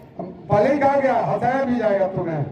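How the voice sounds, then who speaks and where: A man's extremely high voice with lively intonation, plus audible room echo and noticeable background noise. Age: 60s. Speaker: yoga instructor at a school. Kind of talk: live instruction to pupils.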